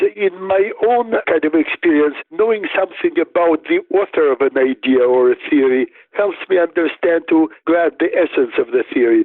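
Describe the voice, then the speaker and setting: A man speaks at a moderate pace. He has a Russian accent. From Soviet Union (Riga, Moscow). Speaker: neuropsychologist and author. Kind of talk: interview.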